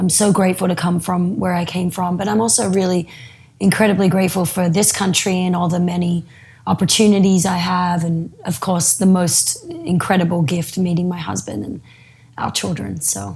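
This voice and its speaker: Against noticeable background noise, a woman with an Australian accent talks at a moderate pace, her pitch fairly low and her intonation fairly even. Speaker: yoga teacher. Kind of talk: interview.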